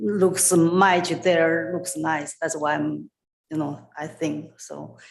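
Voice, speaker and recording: A woman with a non-native accent talks very slowly at a fairly low pitch, with ordinary pitch variation and vocal fry. Her loudness swings widely. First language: not English. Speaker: resident speaking at public meeting. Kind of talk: public comment. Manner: halting.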